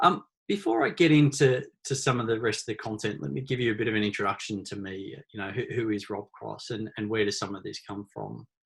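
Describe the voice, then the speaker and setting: Fairly low-pitched male voice with vocal fry in an Australian accent, at a fairly quick pace with ordinary pitch variation. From Australia, small country town. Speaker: author and leadership consultant. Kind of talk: webinar presentation. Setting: online webinar. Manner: hesitant, many fillers and repeated words.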